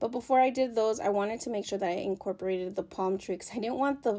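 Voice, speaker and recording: The voice has a dark, mellow tone, moving at a fairly quick pace with ordinary pitch variation. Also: woman. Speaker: crafting video creator. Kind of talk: voiceover tutorial. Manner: fast; casual, with fillers.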